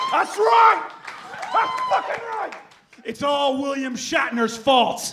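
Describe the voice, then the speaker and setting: Over crowd noise in the background, a man speaks in a raised, projected voice at an extremely high pitch, with very wide pitch swings, a very slow pace and long, frequent pauses. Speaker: performance poet. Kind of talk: spoken word poetry performance. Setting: live reading. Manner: declamatory, energetic.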